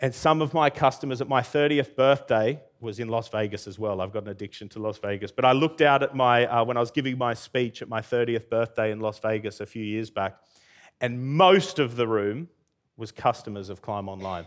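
A man talks at a fairly quick pace with an Australian accent. His medium pitch shows ordinary variation. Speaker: entrepreneur. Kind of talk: talk to live audience. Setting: stage with audience.

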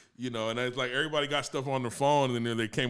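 In a very clean recording with a silent background, a man with an American accent talks at a very fast pace, his medium pitch held in fairly even intonation. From Los Angeles, US. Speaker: music producer and drummer. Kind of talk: casual interview. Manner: relaxed, laughing.

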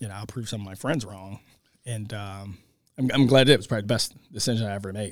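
This man has an unremarkable speaking voice with an American accent, fairly low in pitch with fairly even intonation. The recording is very clean, with a silent background. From Baltimore, Maryland. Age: 30s. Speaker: high school football coach and teacher. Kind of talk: interview. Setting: classroom.

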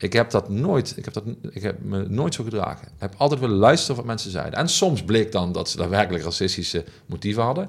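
A man at a very fast pace, fairly low in pitch, with lively intonation. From Netherlands, Heerlen (South Limburg). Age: 40s. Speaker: former union leader and programme director. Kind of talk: interview. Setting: office. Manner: halting.

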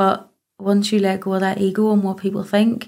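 Speaking at a fairly quick pace with a Northern Irish accent, a woman keeps a monotone, flat intonation at medium pitch, her tone dark and mellow. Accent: Northern Irish (Ulster). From Northern Ireland, County Antrim (Ballymena). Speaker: domestic abuse survivor and advocate. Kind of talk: testimony.

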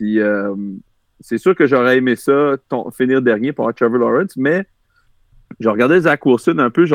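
A man speaks at a moderate pace and medium pitch with lively intonation, the sound dry and close with no echo against a quiet background. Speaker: former football player and sports media analyst. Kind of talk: casual chat about football.

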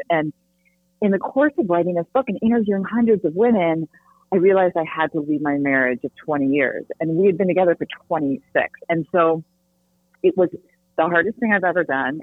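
A woman talks at a fairly quick pace in an ordinary speaking voice. Her pitch is fairly low, and her intonation is lively. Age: 50s. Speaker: dating coach and author. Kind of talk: interview.

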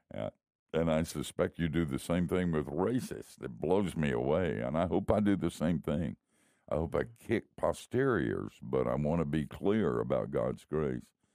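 In a very clean recording with a silent background, a man with an American accent speaks at a moderate pace in a very deep, low voice, dark and mellow in tone, with vocal fry and lively intonation. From US South, Miami. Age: old. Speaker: retired pastor, radio host. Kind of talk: casual chat.

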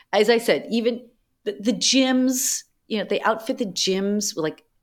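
A woman with an American accent speaks at a very slow pace. The recording is very clean and the background silent. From Boston, US. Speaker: anthropologist and tech creative director. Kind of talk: casual interview chat.

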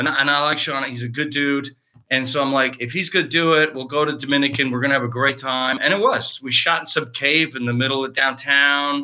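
On a very clean recording with a silent background, a man with a fairly high pitch and a bright, sharp tone speaks at a fairly quick pace in a monotone, flat way. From Canada, eastern Ontario. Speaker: actor. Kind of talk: casual chat.

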